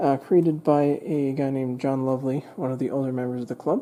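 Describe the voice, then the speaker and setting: At a moderate pace, a woman speaks in a very deep, low pitch with a dark, mellow tone and monotone, flat intonation. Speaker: model railroad club member giving tour. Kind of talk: guided layout tour. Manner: casual with many fillers.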